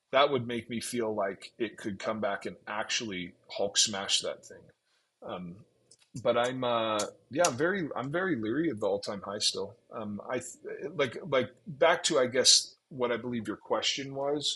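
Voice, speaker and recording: A bright, sharp tone comes at a fairly slow pace with lively intonation. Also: man, medium pitch for a man. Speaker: crypto chart analyst streamer. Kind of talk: live stream chart analysis. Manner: casual, halting with many fillers.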